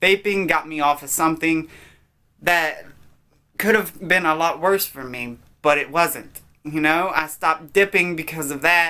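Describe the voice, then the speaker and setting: Her bright, sharp tone moves through big swings in loudness. The woman keeps a fairly even intonation at a fairly slow pace. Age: adult, past high school. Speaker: vape product reviewer. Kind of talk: product review with rant. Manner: casual, conversational.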